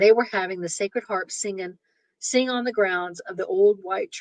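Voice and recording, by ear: Pitch varies in an ordinary way as someone reads aloud in a natural voice, the background quiet.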